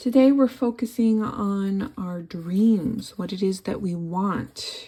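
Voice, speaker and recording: With lively intonation, a woman talks in a somewhat breathy voice. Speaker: tarot reader. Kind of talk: tarot reading to camera. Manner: unscripted, some repeated words.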